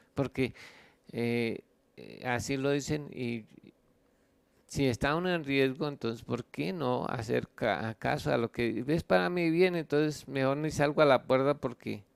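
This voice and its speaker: In a dry, close sound with no echo, a man speaks at a medium pitch and a fairly slow pace with ordinary pitch variation. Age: 60s. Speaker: pastor. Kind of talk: sermon. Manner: halting, many fillers.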